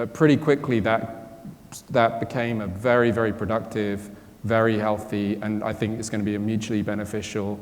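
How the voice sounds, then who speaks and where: Speaking fairly quickly, a man talks in a British accent at a fairly low pitch. His intonation stays fairly even. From Britain. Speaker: quantum computing company co-founder and chief scientist. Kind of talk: panel discussion answer.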